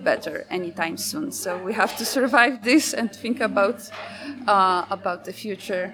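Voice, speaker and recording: A woman with a Polish accent at a fairly slow pace, ordinary pitch variation, and music in the background. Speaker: feminist activist and event organizer. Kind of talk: interview. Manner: halting, many fillers.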